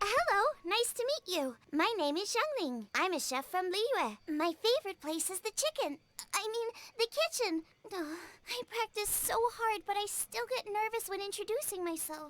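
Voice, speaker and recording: A woman talks at a moderate pace. Her pitch is extremely high. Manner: rushed, nervous.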